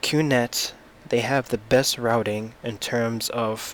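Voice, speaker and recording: This is a man speaking at a medium pitch. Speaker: tech YouTuber. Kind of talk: product review. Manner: halting, with fillers.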